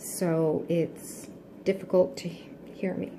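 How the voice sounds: A soft-spoken woman whispers at a slow pace, with audible room echo around her.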